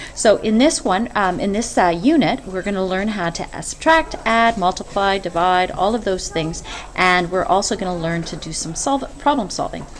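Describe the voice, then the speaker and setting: Noticeable background noise sits behind a woman's voice. Her pitch is medium and her intonation lively. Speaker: math teacher. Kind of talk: screencast lesson. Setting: screen recording. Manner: hesitant, many fillers; fast.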